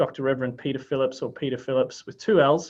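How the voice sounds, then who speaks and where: A man talks with an Australian accent. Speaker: workshop host. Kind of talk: event introduction. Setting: video call.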